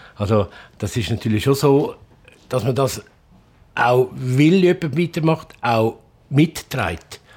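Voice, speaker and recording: A man talks at medium pitch with lively intonation. His voice is somewhat breathy. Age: 60s. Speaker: family innkeeper. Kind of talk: casual chat.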